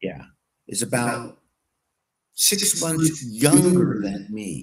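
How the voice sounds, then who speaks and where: Somewhat breathy, a man at medium pitch speaks at a very slow pace with very wide pitch swings. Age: 60s. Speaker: political talk show co-host. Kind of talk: casual political talk.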